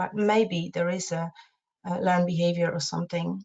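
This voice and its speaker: Somewhat breathy, a woman's voice comes out at a fairly low pitch. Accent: Polish. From Poland. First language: Polish. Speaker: parenting support co-presenter. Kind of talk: advice webinar discussion. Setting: online webinar. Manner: halting, many fillers.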